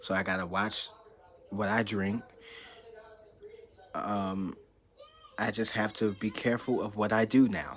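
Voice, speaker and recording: A man delivers monotone, flat speech at a fairly slow pace, with long, frequent pauses and noticeable background noise. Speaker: YouTuber sharing health update. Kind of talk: personal vlog testimony. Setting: talking to camera.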